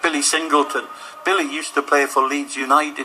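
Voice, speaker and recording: Over music in the background, a man with a fairly high pitch talks at a fairly quick pace in a room with audible echo. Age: 60s. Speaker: walking football player. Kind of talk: radio interview. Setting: sports hall.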